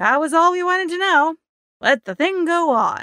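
This is a put-on character voice with a bright, sharp tone and lively intonation at a fairly slow pace. The sound is dry and close, with no echo.

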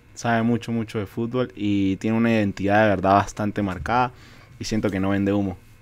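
Speaking at a fairly quick pace with long, frequent pauses, a man talks in a fairly low pitch. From Venezuela. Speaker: football podcast co-host. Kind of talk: casual chat. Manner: animated. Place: studio. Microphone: studio mic.

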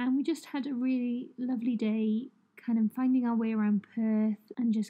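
A woman's high pitch in a British accent, with fairly even intonation at a moderate pace. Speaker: journaling vlogger. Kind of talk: voiceover narration. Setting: at home.

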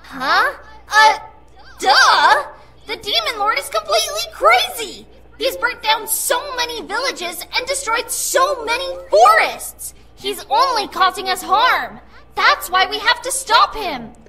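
A woman uses a put-on character voice pitched extremely high, speaking at a fairly slow pace. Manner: bouncy, casual, excitable.

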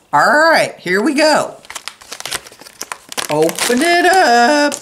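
A woman's put-on character voice, high and fairly bright, very slow, with big pitch swings.

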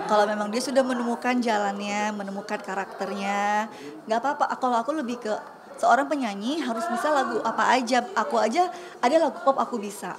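A woman rushes along at a very fast pace, her pitch varying in an ordinary way, while noticeable background noise carries on. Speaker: singer and housewife. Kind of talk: casual interview chat. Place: studio.

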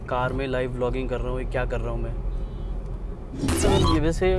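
Noticeable background noise is present. The sound is dry, with no echo. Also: man. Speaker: vlogger driving home. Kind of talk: casual vlog chat. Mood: relaxed, musing. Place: car. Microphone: phone near.

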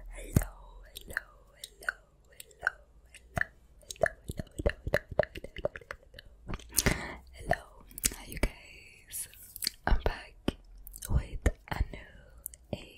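A woman whispering at a very slow pace, with big swings in loudness and long, frequent pauses. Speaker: ASMR creator. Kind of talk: ASMR whispering and trigger words. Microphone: studio mic.

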